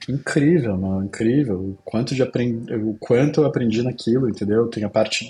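With hardly any pauses, a man talks at a moderate pace in a normal speaking voice. His pitch is medium with ordinary variation. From southern Brazil, Pelotas, Rio Grande do Sul. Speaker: agency CEO and entrepreneur. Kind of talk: casual interview.

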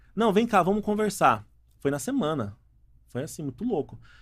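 A man talks in a plain, everyday voice at a moderate pace. His intonation is lively, and the recording is very clean with a silent background. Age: 30s. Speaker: entrepreneur and engineer. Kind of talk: casual interview.

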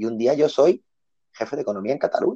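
A man talking at a moderate pace. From Barcelona, Spain. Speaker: journalist. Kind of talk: casual chat.

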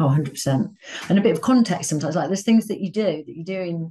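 This woman has a dark, mellow tone, a fairly low pitch and an East Midlands accent. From Leicester, England. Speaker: recruitment company founder. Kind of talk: casual chat.

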